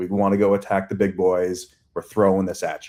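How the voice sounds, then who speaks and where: The speaker has an American accent. The background is quiet. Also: man. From Long Island, New York. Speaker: agency CEO. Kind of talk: interview conversation.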